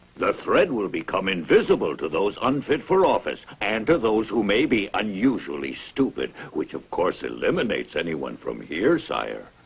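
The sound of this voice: In a put-on character voice, a man speaks at low pitch with vocal fry and a husky, rough edge. He keeps a moderate pace with few pauses and big pitch swings.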